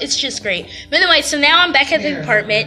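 Clear music plays in the background behind a woman's voice. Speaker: college student vlogger. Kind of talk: casual vlog chat. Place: home room. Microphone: phone near.

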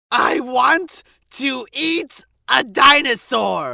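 In a cartoonish character voice, a man uses an extremely high pitch, raised and projected, with lively intonation at a very slow pace. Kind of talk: comic overacting. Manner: loud, manic, excitable, dumb bravado.

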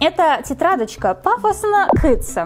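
A woman talks over faint background music. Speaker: beauty vlogger. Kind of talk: casual vlog chat. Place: home room.

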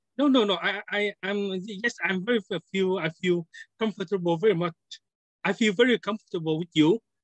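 The voice carries a Vietnamese accent. Its pace is fairly quick. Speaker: scientist and software developer. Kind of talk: self-introduction on video call. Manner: halting.

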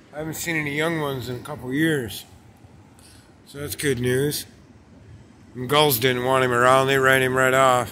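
Speaking in a bright, sharp tone with monotone, flat intonation, a man keeps a moderate pace broken by long, frequent pauses over light background noise. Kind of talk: casual vlog chat. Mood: relaxed, curious. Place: beach. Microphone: phone near.

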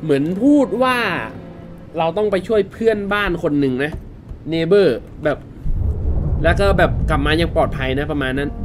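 Against clear music in the background, a man with a fairly high pitch speaks with lively intonation. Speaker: gaming YouTuber. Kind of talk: casual let's-play commentary. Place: home room.

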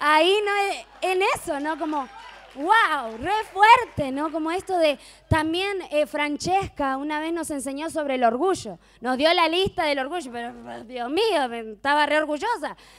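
An animated tone at a fairly slow pace, over noticeable background noise. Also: woman, high pitch for a woman, lively intonation. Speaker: mission worker. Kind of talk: testimony.

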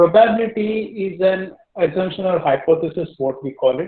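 A man with a high pitch speaks at a fairly quick pace, with audible room echo and a quiet background. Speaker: teacher. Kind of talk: lecture. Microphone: video call.

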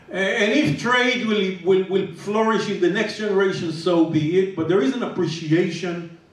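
Spoken at a moderate pace with ordinary pitch variation, the voice carries audible room echo. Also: man. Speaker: panelist. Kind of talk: panel discussion answer. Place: hall.

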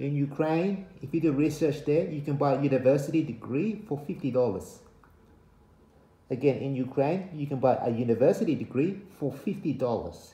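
In a room with audible echo, a man speaks at a moderate pace in a dark, mellow, somewhat breathy voice. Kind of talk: casual vlog chat. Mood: warning, earnest. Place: home room. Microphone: phone near.

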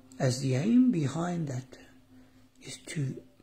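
Noticeable background noise fills the clip. A man's voice comes through it. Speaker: meditation guide. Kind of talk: guided meditation. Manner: slow, calm, formal; long silent pauses.

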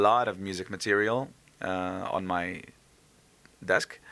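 Here a man speaks with a Slovenian accent at a moderate pace. His tone is bright and sharp. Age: 30s. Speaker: singer; interviewee. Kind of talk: interview. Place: hall. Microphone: handheld.

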